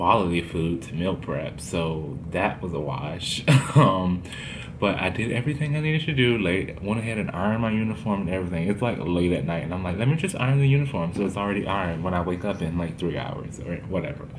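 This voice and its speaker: A man's very deep, low voice at a very fast pace, with noticeable background noise. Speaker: travel vlogger. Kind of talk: casual vlog chat. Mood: amused storytelling. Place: home room. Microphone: phone near.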